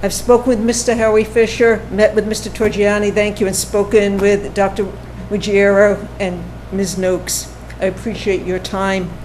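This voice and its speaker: Moderate-paced speech from a woman amid noticeable background noise. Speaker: public commenter at town meeting. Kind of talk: public comment at town board meeting. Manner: halting.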